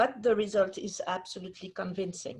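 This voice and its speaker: Somewhat breathy, a woman talks at a moderate pace with a French accent. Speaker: museum curator. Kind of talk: formal introduction. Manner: hesitant, many fillers.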